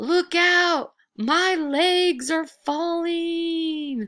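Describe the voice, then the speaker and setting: An extremely high-pitched, put-on character voice. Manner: sad, wailing.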